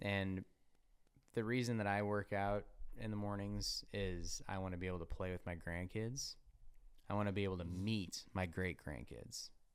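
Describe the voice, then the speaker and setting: At a moderate pace, a man talks in a fairly low pitch with fairly even intonation. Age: 30s. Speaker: podcast host. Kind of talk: casual chat. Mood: earnest, reflective. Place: studio. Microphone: studio mic.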